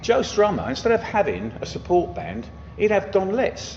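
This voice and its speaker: Noticeable background noise surrounds a man speaking at a moderate pace. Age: 50s. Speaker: music venue owner. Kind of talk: casual chat. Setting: music venue. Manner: animated.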